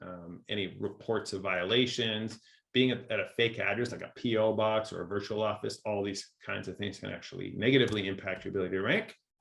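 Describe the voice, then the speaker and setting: A man speaks at a fairly quick pace. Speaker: local SEO expert presenting at a webinar. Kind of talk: webinar presentation. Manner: fast.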